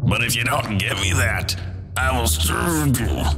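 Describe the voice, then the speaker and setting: Over loud background noise, a man puts on a character voice pitched very deep and low. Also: fairly slow pace. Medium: read story.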